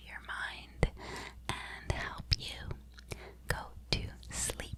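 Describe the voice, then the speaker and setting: A woman whispers in a soothing tone. Noticeable background noise runs underneath. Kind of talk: ASMR sleep talk. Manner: whispered, soft, slow, soothing.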